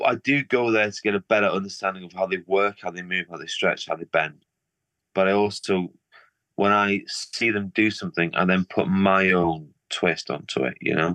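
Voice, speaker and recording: A man speaks with a northern English accent in a bright, sharp tone against a quiet background. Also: dry, close sound with no echo. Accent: Liverpool-tinged northern English. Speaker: artist. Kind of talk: casual interview chat. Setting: video call.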